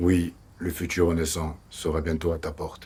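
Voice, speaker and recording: A put-on character voice from a man, raspy and very deep in pitch, at a moderate pace. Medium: short film. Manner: grave, portentous.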